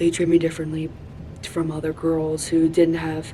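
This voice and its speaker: A woman speaks at a fairly low pitch in a monotone, flat intonation. Noticeable background noise runs underneath. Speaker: vlogger. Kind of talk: personal reflection vlog. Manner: loud; casual.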